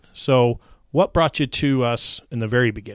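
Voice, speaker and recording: A man's ordinary speaking voice at medium pitch and moderate pace, in a very clean recording with a silent background. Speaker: podcast host. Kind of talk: interview. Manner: friendly, upbeat.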